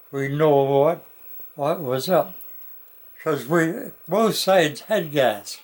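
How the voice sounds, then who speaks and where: With a fairly high pitch and lively intonation, a man talks at a very slow pace, broken by long, frequent pauses. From Canada. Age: 80s+. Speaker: war veteran. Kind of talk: interview answer.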